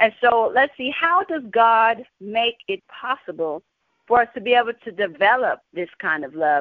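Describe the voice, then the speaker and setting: Very wide pitch swings and big swings in loudness at a fairly slow pace. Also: woman. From Texas, San Antonio. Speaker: gospel singer. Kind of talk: Bible teaching.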